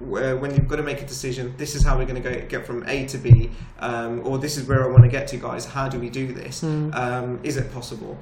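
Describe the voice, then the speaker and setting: With noticeable background noise and audible room echo, a man of medium pitch talks at a fairly quick pace in a monotone, flat intonation with hardly any pauses. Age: 30s. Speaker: chartered accountant, business chamber president. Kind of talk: interview.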